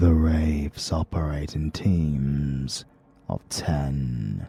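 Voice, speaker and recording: A man with a very deep, low pitch, a dark, mellow, somewhat breathy tone, fairly even intonation and a very slow pace. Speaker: voice actor. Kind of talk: audiobook narration.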